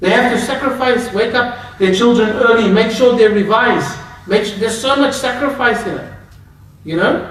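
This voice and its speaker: This man's voice sits at an extremely high pitch, with fairly even intonation. Noticeable background noise and audible room echo are present. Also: moderate pace. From Australia, Melbourne. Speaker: Islamic scholar. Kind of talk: lecture. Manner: conversational.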